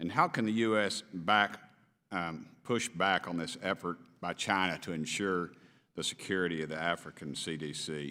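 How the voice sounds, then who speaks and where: In an East Tennessee accent, a man with a very deep, low pitch and a bright, sharp tone talks at a moderate pace with ordinary pitch variation on a very clean recording with a silent background. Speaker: congressman. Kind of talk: committee hearing questioning. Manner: informal, off the cuff.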